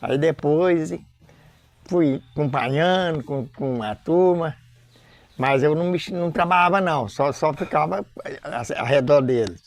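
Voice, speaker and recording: A man's fairly high voice at a very slow pace, with long, frequent pauses and ordinary pitch variation, on a very clean recording over a silent background. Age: 80s+. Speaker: folk religious group leader. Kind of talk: interview testimony. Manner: halting.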